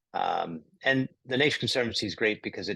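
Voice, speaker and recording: In an American accent, a man speaks at a moderate pace with a bright, sharp tone. The background is quiet. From United States. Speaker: climate investor. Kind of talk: interview.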